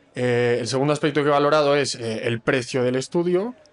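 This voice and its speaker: This man's recording carries noticeable background noise. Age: 20s. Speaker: master's student. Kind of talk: casual panel discussion.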